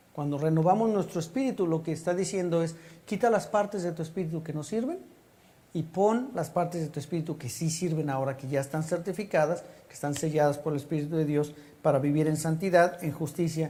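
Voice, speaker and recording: A fairly high-pitched man's voice, dark and mellow in tone, at a fairly quick pace with ordinary pitch variation and audible room echo. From Mexico City. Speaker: pastor. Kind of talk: sermon.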